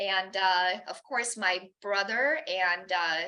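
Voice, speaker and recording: Speaking in a Romanian accent, a woman has a bright, sharp tone. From Romania, Bucharest. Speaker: guest speaker. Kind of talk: personal talk. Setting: church chapel with audience. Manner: halting, many fillers.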